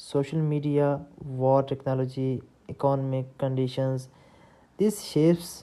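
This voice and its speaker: Speaking at a fairly slow pace, a woman with a non-native accent has a very deep, low pitch and a dark, mellow tone. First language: not English. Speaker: book summary narrator. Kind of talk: reading aloud. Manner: halting.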